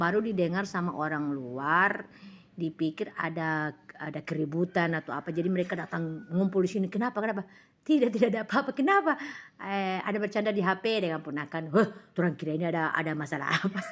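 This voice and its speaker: A woman talks at a very fast pace in an animated tone. Her intonation is lively. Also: fairly low pitch for a woman. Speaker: live-stream seller. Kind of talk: casual live-stream chat. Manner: loud.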